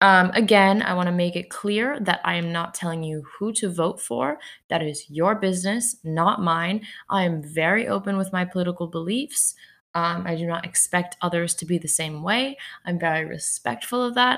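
In a very clean recording with a silent background, a woman with a fairly low pitch speaks at a moderate pace in an ordinary speaking voice with ordinary pitch variation. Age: young (19). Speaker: podcast host. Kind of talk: solo podcast monologue. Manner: many filler ums.

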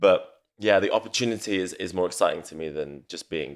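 A man speaks at a fairly quick pace with a London accent. The recording is very clean, with a silent background. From north London. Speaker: event organiser. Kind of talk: casual chat.

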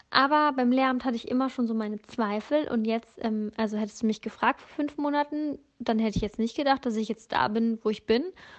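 A woman's fairly high voice at a fairly quick pace, with ordinary pitch variation and big swings in loudness. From northern Germany. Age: 20s. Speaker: podcast host. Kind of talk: casual monologue. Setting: in bed in an apartment. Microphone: phone voice memo, no microphone.

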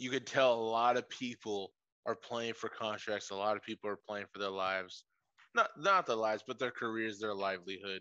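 Dry and close with no echo against a quiet background, a man's medium-pitched voice has a bright, sharp tone, fairly even intonation and a fairly quick pace. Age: 20s. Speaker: sports podcast co-host. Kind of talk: casual chat.

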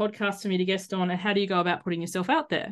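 A woman speaks with an Australian accent. The background is quiet. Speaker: life coach and podcaster. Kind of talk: casual interview chat.

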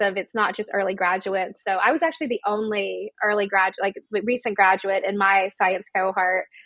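A woman with an American accent and a normal speaking voice talks at a fairly quick pace, medium in pitch with ordinary pitch variation. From US South, Georgia small town. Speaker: education company CEO. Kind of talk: interview. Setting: grandmother's house.

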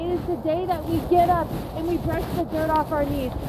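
An extremely high-pitched woman amid noticeable background noise and audible room echo. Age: 30s. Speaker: faith and recovery podcast host. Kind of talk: casual motivational monologue. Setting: outdoors, walking dog downtown. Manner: animated.

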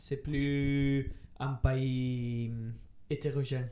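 Speaking with an Italian accent, a man uses a medium pitch and monotone, flat intonation. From Italy. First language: Italian (speaking French). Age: 20s. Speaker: medical student. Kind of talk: casual chat. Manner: halting.

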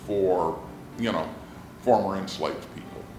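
A man with an American accent, with audible room echo and music in the background. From Los Angeles. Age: 70s. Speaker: retired professor. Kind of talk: interview.

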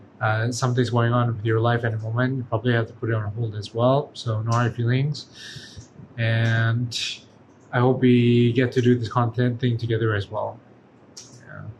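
Somewhat breathy and monotone, a man speaks at a medium pitch and a moderate pace, leaving long, frequent pauses. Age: 20s. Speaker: podcast guest, photographer and performer. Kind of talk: casual chat.

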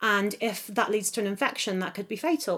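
A fairly high-pitched woman talks with a southern English accent. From England, Oxfordshire countryside. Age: 20s. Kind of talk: casual interview.

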